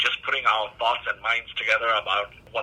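A man talks at a fairly quick pace amid noticeable background noise. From Botswana (Southern Africa), Indian family. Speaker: hospital chief information officer. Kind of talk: interview. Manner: hesitant, with many repeated words.

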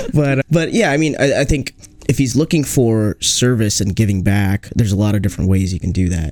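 A man with a normal speaking voice and an American accent, medium pitch, lively intonation, a fairly quick pace and a dry, close sound with no echo. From US Northwest, Seattle. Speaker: medical student. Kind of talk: casual chat.

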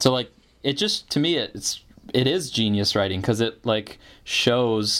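Recorded very cleanly against a silent background, a man with an American accent has a plain, everyday voice, medium in pitch with ordinary variation. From northern Michigan, US. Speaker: podcast host and writer. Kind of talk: casual chat.

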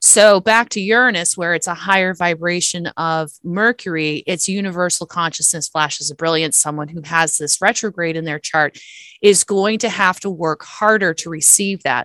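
A woman with a bright, sharp tone and hardly any pauses, in a dry, close sound with no echo. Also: fairly low pitch for a woman, ordinary pitch variation, moderate pace. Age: 40s. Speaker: astrologer. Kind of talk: interview. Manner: halting, repeats words.

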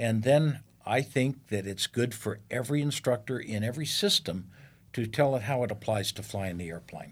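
On a very clean recording with a silent background, a man with a somewhat breathy, medium-pitched voice speaks at a moderate pace with ordinary pitch variation. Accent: American. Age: 70s. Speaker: retired airline captain and Navy fighter pilot. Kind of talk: interview. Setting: studio.

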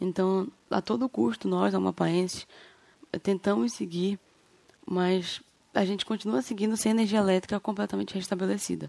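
A woman of medium pitch speaks at a moderate pace with lively intonation and very even loudness, leaving long, frequent pauses, in a dry, close sound with no echo. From Brazil, Amapá (Macapá). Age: 20s. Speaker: podcast host giving local testimony. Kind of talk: testimony. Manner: halting.

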